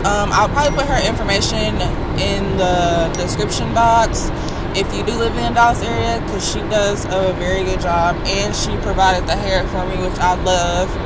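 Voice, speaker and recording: Loud background noise surrounds a woman's voice, though the sound itself is dry with no echo. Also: moderate pace. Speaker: vlogger. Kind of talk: casual vlog talk to camera. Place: car. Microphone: phone near.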